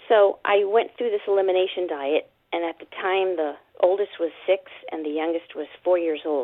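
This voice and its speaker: With an American accent and a normal speaking voice, a woman talks at a moderate pace and a medium pitch. Her pitch variation is ordinary, while her loudness swings a lot. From New York (Brooklyn, Queens, Long Island). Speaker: food business founder. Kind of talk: interview.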